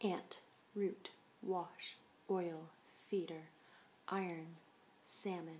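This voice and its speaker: The voice is somewhat breathy, with ordinary pitch variation. Light background noise can be heard. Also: woman. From Canada, Toronto. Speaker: vlogger. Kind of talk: word list reading. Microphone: webcam.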